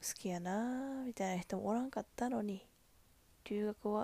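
Speaking with a Kansai accent, a woman has a dark, mellow tone and lively intonation. Her moderate-paced delivery has a dry, close sound with no echo. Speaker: podcast host. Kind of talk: casual monologue. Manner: animated.

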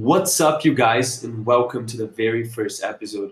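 A man's somewhat breathy voice at a medium pitch. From Brazil, Brasilia. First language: Portuguese. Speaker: podcast host, content creator. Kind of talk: solo podcast monologue. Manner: casual, with fillers.

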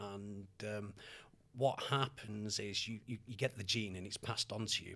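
With a Mancunian accent, a man talks at a moderate pace in a fairly low pitch, his tone bright and sharp and his intonation fairly even. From Manchester, England. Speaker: hair loss consultant. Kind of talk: podcast interview.

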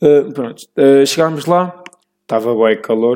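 A man's fairly high, lively voice at a fairly slow pace, in a European Portuguese accent. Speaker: podcast host. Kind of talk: casual monologue. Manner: halting.

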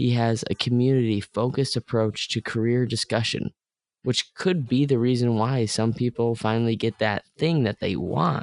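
This man has an ordinary speaking voice at a medium pitch, with fairly even intonation. He talks at a moderate pace, and the sound is dry and close with no echo. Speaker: podcast host. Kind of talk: interview, host intro.

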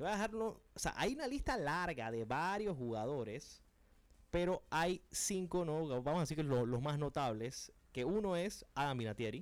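Speaking at a moderate pace, a man with a fairly high pitch uses very wide pitch swings. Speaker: sports radio host. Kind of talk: sports radio talk show. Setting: radio studio.

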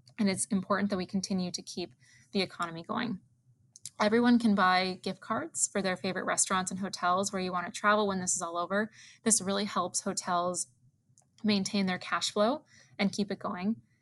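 Someone with an American accent speaks at a fairly quick pace with fairly even intonation over a quiet background. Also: woman, medium pitch for a woman. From Wisconsin, US Midwest. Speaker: travel industry executive. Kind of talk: interview conversation.

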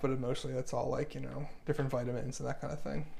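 A man's fairly high voice with vocal fry, very fast delivery and ordinary pitch variation. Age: 30s. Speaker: martial arts practitioner. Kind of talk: casual chat.

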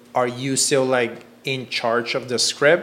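Fairly slow, fairly even speech against noticeable background noise. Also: man. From Cuba. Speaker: podcast host, filmmaker. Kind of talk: casual chat.

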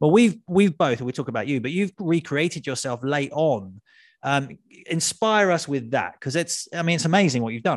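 Against a quiet background, a man with an unremarkable speaking voice talks at a moderate pace and fairly high pitch with lively intonation. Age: 40s. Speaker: podcast host and author. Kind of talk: casual interview chat. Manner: chatty, jokey, self-deprecating.

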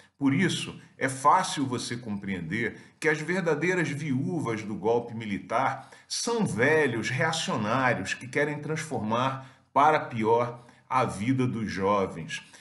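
A man with a medium-pitched voice speaks at a very slow pace with lively intonation, and the room echo is audible. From Brazil. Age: 50s. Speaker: academic commentator. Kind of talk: video commentary.

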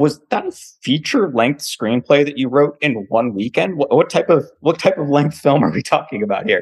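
A man speaks at a fairly high pitch with lively intonation, in an ordinary speaking voice. He keeps a moderate pace with hardly any pauses. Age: 30s. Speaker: podcast host. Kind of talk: casual interview chat.

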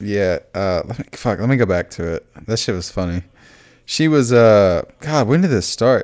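A man's unremarkable speaking voice at medium pitch, with lively intonation and a moderate pace. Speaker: podcast co-host. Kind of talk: casual chat.

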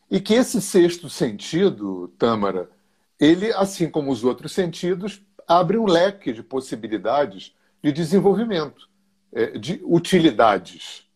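A man's high voice at a fairly slow pace with very wide pitch swings, in a very clean recording with a silent background. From Rio de Janeiro, Brazil. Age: 60s. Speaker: therapist and energy alignment teacher. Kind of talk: interview on a live stream.

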